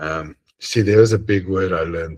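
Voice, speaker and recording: The speaker uses a moderate pace and ordinary pitch variation in a South African accent. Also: man. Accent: South African Afrikaans English. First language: Afrikaans. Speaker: religious study group leader. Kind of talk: casual chat. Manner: halting.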